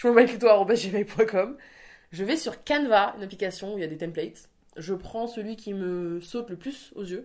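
At a fairly slow pace and medium pitch, a woman speaks in an animated tone with ordinary pitch variation and big swings in loudness, on a very clean recording with a silent background. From Spain. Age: 20s. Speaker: Instagram content creator. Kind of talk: casual interview.

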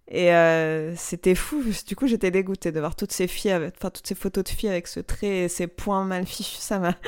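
A woman speaks at a medium pitch in a plain, everyday voice. The recording is very clean, with a silent background. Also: ordinary pitch variation, moderate pace. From Algeria (Algiers). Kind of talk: interview. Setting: home workshop.

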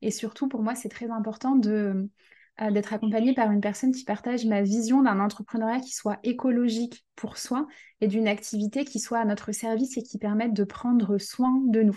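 The voice is somewhat breathy, with a dark, mellow tone and monotone, flat intonation. It moves at a moderate pace against a quiet background. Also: woman, fairly high pitch for a woman. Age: 20s. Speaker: career change coach. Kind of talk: interview conversation.

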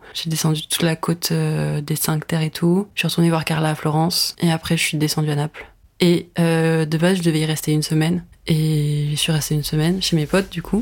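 Very deep and low-pitched, a woman speaks at a fairly quick pace in a flat monotone. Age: 20s. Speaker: art student. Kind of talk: casual chat.

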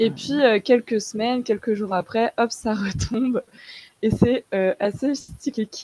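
A woman with a fairly high pitch speaks at a fairly slow pace in a dark, mellow tone, with ordinary pitch variation and a dry, close sound with no echo. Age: 20s. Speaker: podcast listener. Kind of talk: casual chat.

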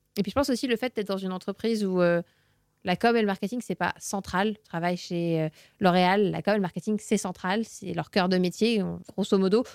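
Recorded very cleanly with a silent background and a dry, close sound free of echo, a woman speaks at a medium pitch and a fairly quick pace. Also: fairly even intonation. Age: 20s. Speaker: communications manager. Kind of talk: interview. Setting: studio. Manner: hesitant, many fillers.

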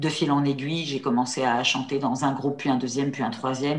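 A woman's pitch is very deep and low. She talks very fast. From central France, near La Châtre. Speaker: trainer and coach. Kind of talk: interview conversation. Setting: video call. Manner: hesitant, many fillers.

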